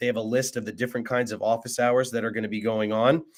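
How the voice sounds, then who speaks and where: A man's monotone, flat delivery on a very clean recording with a silent background. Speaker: chemistry tutor. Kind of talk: live tutoring session. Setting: live stream. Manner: many fillers (uh, um).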